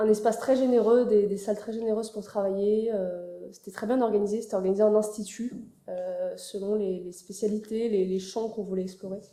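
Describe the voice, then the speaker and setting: Fairly quick, monotone and flat speech with big swings in loudness against noticeable background noise. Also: woman, fairly high pitch for a woman. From France, Paris. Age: 20s. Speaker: architecture student. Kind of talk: interview. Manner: hesitant, many fillers.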